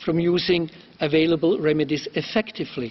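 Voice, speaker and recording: This man's voice is high-pitched, and he keeps a medium tempo. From Switzerland. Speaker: human rights lawyer, committee member. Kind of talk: formal questioning at hearing. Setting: UN council hearing. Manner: formal.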